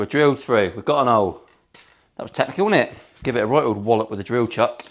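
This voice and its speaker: The speaker is a man. He has a Cornish accent. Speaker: luthier, guitar builder. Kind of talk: workshop tutorial. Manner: casual, jokey.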